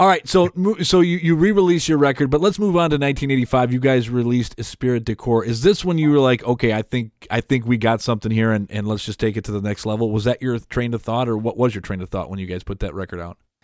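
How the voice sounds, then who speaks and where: A man talks at a very fast pace with hardly any pauses and lively intonation. His voice sits at a medium pitch, with a dry, close sound and no echo. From Detroit, Michigan. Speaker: podcast host. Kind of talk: interview.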